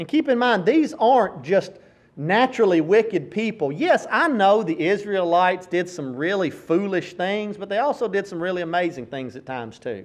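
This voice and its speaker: With a Tennessee accent, a high-pitched man talks at a moderate pace, his pitch swinging very widely. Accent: Southern US (Tennessee). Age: 40s. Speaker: preacher. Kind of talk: sermon.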